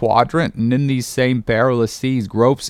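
Keeping the intonation fairly even, a reader goes through the text aloud in a natural voice.

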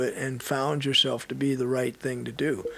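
Noticeable noise can be heard in the background. Over it, a man talks at a moderate speed. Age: 60s. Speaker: retired strength and conditioning coach. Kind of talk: casual interview chat.

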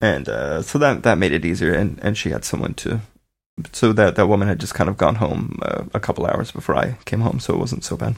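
A man's fairly low, fairly quick voice with lively intonation and vocal fry. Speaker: podcast host, new father. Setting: home, baby sleeping in room.

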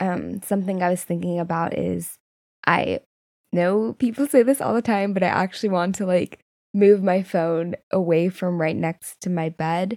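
A woman's normal speaking voice at medium pitch, moderate pace and ordinary pitch variation, dry and close with no echo. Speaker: podcast co-host. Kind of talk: casual chat.

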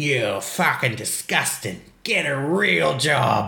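A put-on character voice in a strong Australian accent, low-to-middle in pitch, at a very slow pace. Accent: broad Australian. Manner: angry, aggressive.

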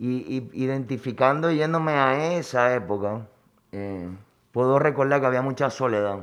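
Over a quiet background, a man talks at a fairly slow pace in a plain, everyday voice with ordinary pitch variation. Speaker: chef. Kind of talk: personal life story interview.

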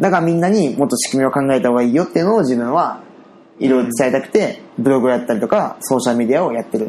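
A man at medium pitch, very fast pace and lively intonation, with noticeable background noise. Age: 30s. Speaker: web company owner. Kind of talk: casual chat.

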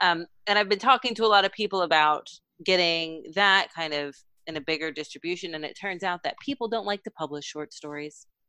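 Her bright, sharp tone sits at a fairly low pitch, with ordinary pitch variation and a moderate pace. The woman's recording is very clean, with a silent background and a dry, close sound with no echo. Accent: American. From Texas. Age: 30s. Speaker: mental health nonprofit research director. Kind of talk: casual chat.

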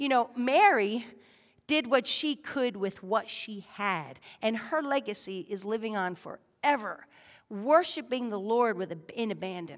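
This woman has a normal speaking voice with fairly high pitch and lively intonation, speaking at a fairly slow pace on a very clean recording with a silent background. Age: 40s. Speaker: lay preacher. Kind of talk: sermon. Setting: church.

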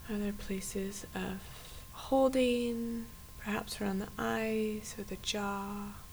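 A soothing, warm tone at a very slow pace, over noticeable background noise. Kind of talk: guided meditation. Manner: slow, soft, calm and gently paced with long pauses; soothing, inviting, warm.

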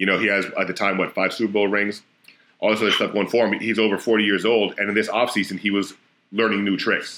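With an American accent, a man talks at a very fast pace and fairly low pitch in a bright, sharp tone. His intonation is monotone and flat, his loudness very even, and the recording very clean with a silent background. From Florida. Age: 30s. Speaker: strength and conditioning coach. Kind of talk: casual chat.

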